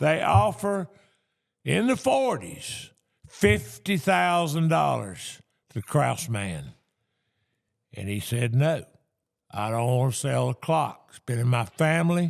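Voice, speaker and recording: Speaking at a very slow pace with long, frequent pauses, a man with a North Carolina accent uses a medium pitch with very wide pitch swings and big swings in loudness. The recording is very clean, with a silent background. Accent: North Carolina Southern. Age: 70s. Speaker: antiques dealer. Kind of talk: storytelling. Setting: auction gallery.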